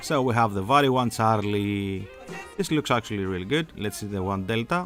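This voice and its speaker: With music in the background, a man with a fairly low pitch speaks with lively intonation. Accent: Greek. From Greece. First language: Greek. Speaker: aviation enthusiast, flight sim hobbyist. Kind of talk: casual screen-capture tutorial.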